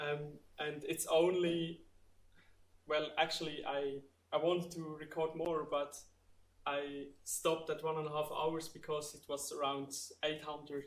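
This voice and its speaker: Speaking at a fairly slow pace with long, frequent pauses, the voice stays monotone and flat in intonation amid audible room echo. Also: man, fairly high pitch for a man. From Switzerland, Entlebuch (Lucerne). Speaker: student researcher presenting. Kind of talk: conference Q&A. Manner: hesitant, many fillers.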